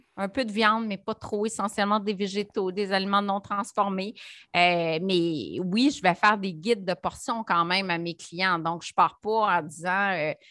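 A woman speaks in a Quebec accent with a bright, sharp tone and a medium pitch. She goes at a fairly slow pace in a very clean recording with a silent background. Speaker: nutritionist and entrepreneur. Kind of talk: interview. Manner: animated.

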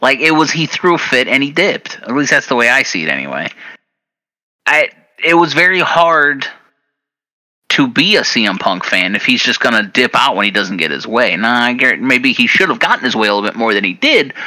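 A man speaks fairly quickly at a medium pitch, his bright, sharp tone showing vocal fry as his pitch swings very widely. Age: 30s. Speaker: wrestling podcast host. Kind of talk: casual chat.

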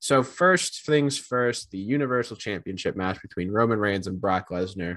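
Against a quiet background, a man speaks in a normal speaking voice at a medium pitch. His pace is moderate and his intonation lively. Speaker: wrestling podcast co-host. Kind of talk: casual chat.

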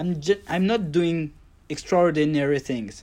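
A man with a French accent speaks at a fairly slow pace, with ordinary pitch variation. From Paris suburbs, France. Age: 30s. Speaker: calligrapher and lettering artist. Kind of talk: casual interview chat. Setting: video call.

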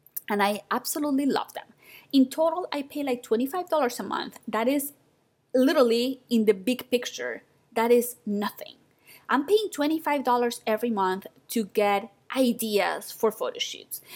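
With a non-native accent, a woman speaks fairly slowly in a high voice with lively intonation. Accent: foreign-accented English. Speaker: podcast host and photography business mentor. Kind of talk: solo podcast monologue.

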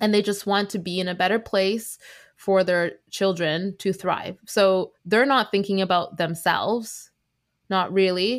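A woman with a Canadian accent in a normal speaking voice, medium pitch and fairly even intonation, at a fairly slow pace on a very clean recording with a silent background. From Canada, Vancouver. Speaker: dietitian and mental health podcaster. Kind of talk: casual chat.

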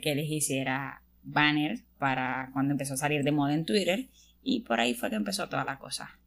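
A woman's very deep, low-pitched voice with ordinary pitch variation, on a very clean recording with a silent background. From Venezuela. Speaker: podcast co-host, engineering student. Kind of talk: casual chat. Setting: sitting on a bed at home.

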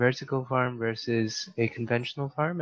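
Here a man with an unremarkable speaking voice talks at a medium pitch and moderate pace with fairly even intonation. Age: young. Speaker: podcast host and student. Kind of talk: interview.

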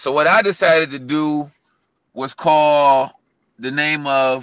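Against a quiet background, a man with an American accent talks at a fairly high pitch in a bright, sharp tone. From US Midwest (Cleveland, Ohio). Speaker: fitness coach and gym owner. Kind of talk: interview.

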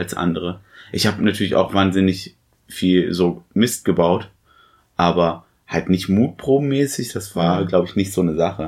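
On a very clean recording with a silent background, a man speaks at a moderate pace. His pitch is very deep and low, with ordinary variation. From Germany, small town. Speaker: film podcast host. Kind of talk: casual chat.

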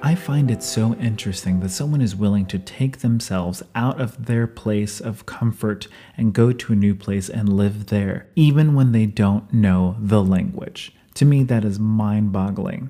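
A man with an American accent and an unremarkable speaking voice, fairly low in pitch with ordinary variation, at a moderate pace with hardly any pauses. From United States. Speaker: podcast host. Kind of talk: interview, casual chat. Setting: hostel kitchen, live interview.

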